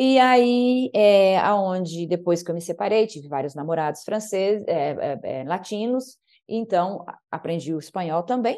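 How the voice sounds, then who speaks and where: A woman with a dark, mellow tone speaks at a medium pitch and fairly slow pace, with lively intonation and hardly any pauses. Her loudness swings widely against a quiet background. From Brazil. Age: 50s. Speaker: naturopath and podcast guest. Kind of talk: interview conversation.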